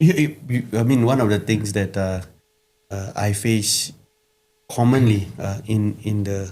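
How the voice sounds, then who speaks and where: The voice has a Singaporean accent. Its tone is dark and mellow. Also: man. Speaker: pastor. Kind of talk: casual chat. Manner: halting.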